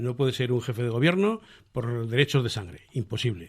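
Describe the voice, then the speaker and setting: Somewhat breathy and very fast, a man talks at a medium pitch with lively intonation. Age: 70s. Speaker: republican association member. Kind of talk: radio interview. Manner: halting.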